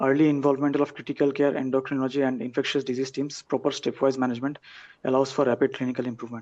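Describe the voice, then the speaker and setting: A man's very fast, monotone delivery with flat intonation, against a quiet background. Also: medium pitch for a man. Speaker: critical care trainee presenting a case. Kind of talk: case presentation in a webinar.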